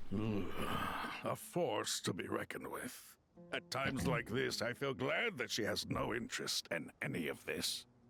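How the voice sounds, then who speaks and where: A man puts on a character voice at a medium pitch. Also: moderate pace. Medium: video game.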